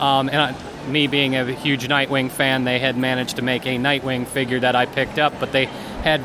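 Medium pitch from a man, moderate pace, and noticeable background noise throughout. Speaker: guest co-host. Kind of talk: casual chat. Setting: convention hall.

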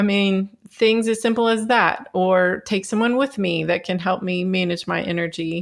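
A calm woman's voice at medium pitch, ordinary pitch variation, a moderate pace and hardly any pauses. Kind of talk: interview.

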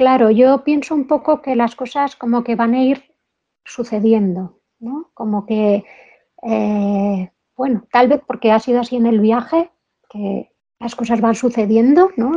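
A dark, mellow tone at a fairly slow pace, with ordinary pitch variation and big swings in loudness. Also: woman. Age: 50s. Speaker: motorcycle traveler and businesswoman. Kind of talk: interview.

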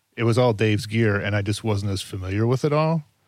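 A man with a fairly low voice talks at a very fast pace on a very clean recording with a silent background. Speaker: video producer. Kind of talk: casual chat. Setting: airport lounge, shared microphones.

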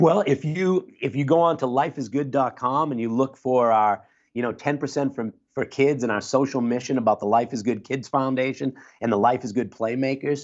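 A man talks at a fairly quick pace with a plain, everyday voice. His pitch is medium, with ordinary variation. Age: 50s. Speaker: clinical social worker. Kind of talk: interview conversation. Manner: casual.

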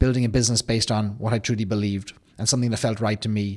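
A man speaks very fast in an Irish accent, his pitch medium. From Ireland. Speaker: business founder. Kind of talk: interview. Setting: studio.

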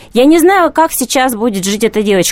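In a dry, close recording with no echo, a woman's voice swings very widely in pitch. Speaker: journalist and feminist. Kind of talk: radio studio discussion. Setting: studio.

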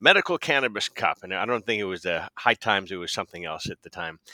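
In a very clean recording with a silent background, a man with a fairly low pitch and a bright, sharp tone sounds dry and close, with no echo. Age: 50s. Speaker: medical cannabis patient advocate. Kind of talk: interview conversation. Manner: halting, many fillers.

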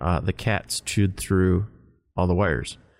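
A man with a very deep, low voice talks at moderate speed, and the recording is very clean with a silent background. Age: 40s. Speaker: podcast host. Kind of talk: casual chat.

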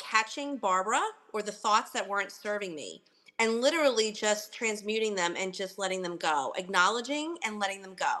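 Her bright, sharp tone and fairly high pitch carry lively intonation as the woman speaks at a moderate pace. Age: 50s. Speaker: podcast guest sharing personal story. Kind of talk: casual interview chat.

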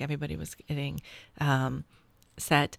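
Speaking at a fairly slow pace, a woman uses a very deep, low pitch with vocal fry and fairly even intonation. The recording is very clean, with a silent background. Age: 40s. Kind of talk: casual chat.

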